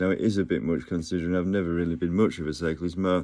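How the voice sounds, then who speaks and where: A man with an English accent talks very fast in a very deep, dark and mellow voice against a quiet background. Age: 50s. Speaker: vlogger. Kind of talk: casual monologue. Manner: halting.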